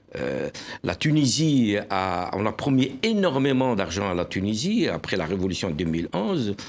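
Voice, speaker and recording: This man's voice has very wide pitch swings and a fairly low pitch. He speaks at a fairly slow pace. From Algeria. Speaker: newspaper publisher and journalist. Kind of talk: panel discussion. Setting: TV studio.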